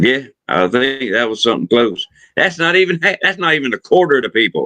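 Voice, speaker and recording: A man's medium-pitched voice with vocal fry and very wide pitch swings, racing at a very fast pace in a Southern US accent. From US South. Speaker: livestream host. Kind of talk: casual chat. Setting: live stream.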